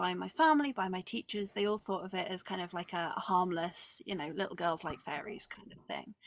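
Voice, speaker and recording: Speaking at medium pitch with a southeast English accent, a woman sounds dry and close with no echo. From southeast England. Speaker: witch and author. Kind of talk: interview.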